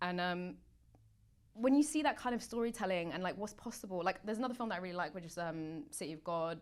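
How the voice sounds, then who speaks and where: A woman with a Mancunian accent, medium pitch, lively intonation and a very fast pace. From Manchester, northwest England. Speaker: actor. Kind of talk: casual chat.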